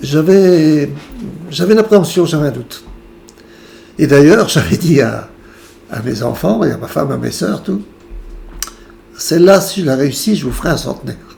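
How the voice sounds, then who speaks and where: Loudness swings widely and the intonation is lively, at a moderate pace. Long, frequent pauses break up the speech, with noticeable background noise behind it. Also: man. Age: 70s. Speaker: patient sharing near-death experience. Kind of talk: testimony.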